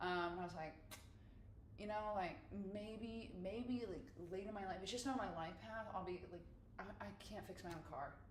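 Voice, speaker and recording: Amid noticeable background noise and audible room echo, a woman of medium pitch speaks at a moderate pace with ordinary pitch variation and long, frequent pauses. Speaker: live-stream podcast host. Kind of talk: casual chat. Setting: live stream with camera.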